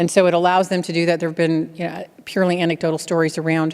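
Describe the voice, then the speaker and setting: Speaking at a fairly quick pace, the woman uses a fairly low pitch and a monotone, flat intonation. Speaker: keynote speaker, healthcare technology executive. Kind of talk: keynote speech with Q&A. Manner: fast.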